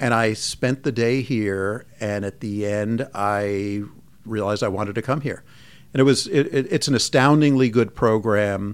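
A man's fairly low voice, an ordinary speaking voice, with ordinary pitch variation and a moderate pace, on a very clean recording with a silent background. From US Northeast, Long Island, New York. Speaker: physician and medical department chair. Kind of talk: interview.

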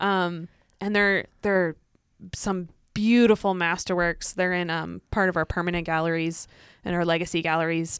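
In a very clean recording with a silent background, a woman talks at a moderate pace in a fairly low, monotone, flat voice. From Illinois, US Midwest farming community. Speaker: museum staff. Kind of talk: casual chat.

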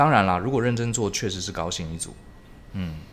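The intonation is lively, and the room echo is audible. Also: man. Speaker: podcast host. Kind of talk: casual interview chat.

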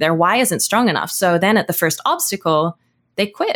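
A woman talks at a fairly quick pace. Her pitch is fairly low. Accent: Australian. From Australia. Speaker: entrepreneur and YouTube educator. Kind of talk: interview.

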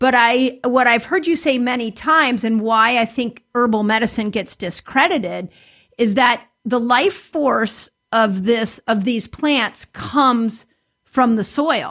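On a very clean recording with a silent background, a woman speaks at a fairly slow pace with a high pitch and ordinary pitch variation. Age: 50s. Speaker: health podcast host. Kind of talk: interview.

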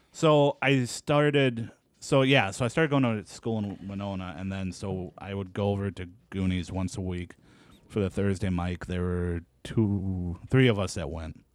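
In a very clean recording with a silent background, a man speaks at a moderate pace in a normal speaking voice, fairly low in pitch, with lively intonation. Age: 30s. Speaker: stand-up comedian. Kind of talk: casual chat. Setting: studio.

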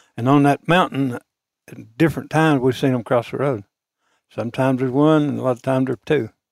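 A man with an Arkansas accent at medium pitch, talking very fast with fairly even intonation, in a very clean, dry, close recording with no echo and a silent background. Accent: Southern US (Arkansas). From small-town Arkansas. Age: 70s. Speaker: retired auto parts dealer, deer hunter. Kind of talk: storytelling. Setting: hunting camp.

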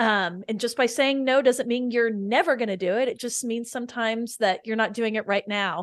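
With hardly any pauses, a woman speaks in a plain, everyday voice at a moderate pace, with a fairly high pitch and ordinary pitch variation, against a quiet background. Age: 40s. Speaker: nonprofit community co-founder and podcast host. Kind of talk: casual interview.

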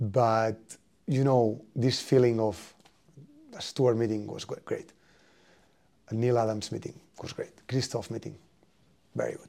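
A man speaks at a medium pitch with a Spanish accent, his tone dark and mellow and his intonation fairly even. His pace is fairly slow, with long, frequent pauses and big swings in loudness. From Spain. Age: 30s. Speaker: football coach. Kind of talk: interview.

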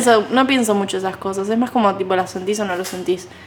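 Background noise is noticeable throughout. The words arrive at a very fast pace. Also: woman. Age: 20s. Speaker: podcast co-host, content creator and video editor. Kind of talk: casual chat.

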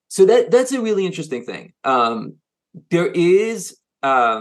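A man with a French accent speaks at a moderate pace in a fairly high pitch, his voice swinging very widely in pitch. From France, grew up moving between Asia and the US. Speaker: consultancy CEO. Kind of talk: interview. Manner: halting, many fillers and repeats.

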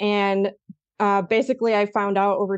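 A woman with an American accent talks at a moderate pace in a medium-pitched voice. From US, Eastern Oregon small town. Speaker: marketing agency founder, SEO expert. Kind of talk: interview.

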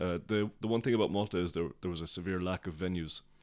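A man with a Cork accent has a very deep, low voice and fairly even intonation. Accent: Cork Irish. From Ireland, Cork. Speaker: music promoter. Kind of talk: casual interview.

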